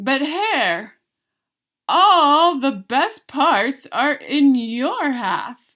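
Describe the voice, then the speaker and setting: A put-on character voice at a very slow pace, on a very clean recording with a silent background. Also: woman, high pitch for a woman. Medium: read story. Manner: slow, grumbling.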